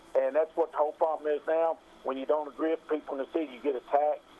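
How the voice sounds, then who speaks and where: With an American accent, a man rattles off words at a very fast pace in a fairly high, flat monotone. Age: 60s. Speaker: caller, local business owner. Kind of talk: call-in political opinion. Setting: phone call.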